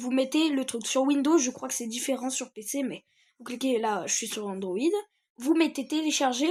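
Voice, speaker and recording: A woman's high-pitched voice at a moderate pace on a very clean recording with a silent background. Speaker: gaming youtuber. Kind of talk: tutorial. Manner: hesitant, many fillers.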